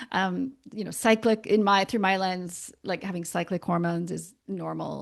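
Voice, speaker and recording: A woman with a Canadian accent speaks against a quiet background. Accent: Canadian, persistent. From Canada. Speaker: naturopathic doctor. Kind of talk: podcast interview. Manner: casual, hesitant with fillers.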